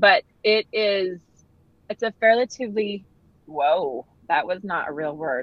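With an American accent and lively intonation, a woman at a medium pitch talks at a fairly slow pace, leaving long, frequent pauses. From northern Utah. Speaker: fitness instructor. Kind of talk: casual interview. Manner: animated.

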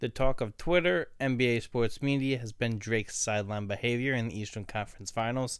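Over a very clean recording with a silent background, a man speaks in a New Jersey accent. His medium pitch shows ordinary variation at a moderate pace. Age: 20s. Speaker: podcast guest, young producer. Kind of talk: casual chat.

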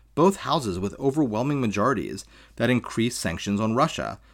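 In a very clean recording with a silent background, a man speaks at a fairly quick pace with vocal fry. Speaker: podcast host. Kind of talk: scripted political commentary podcast.

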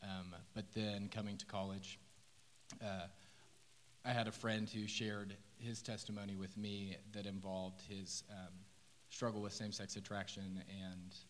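Flat, monotone delivery from a man with an American accent, fairly low in pitch, at a moderate pace with long, frequent pauses and audible room echo. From Oklahoma City. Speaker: first-year teacher. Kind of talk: testimony. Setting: church stage.

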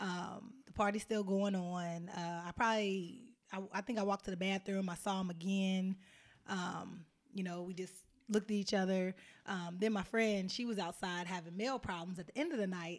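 At a moderate pace, a woman with a normal speaking voice talks at medium pitch with fairly even intonation. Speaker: mother and family business worker. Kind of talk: casual chat.

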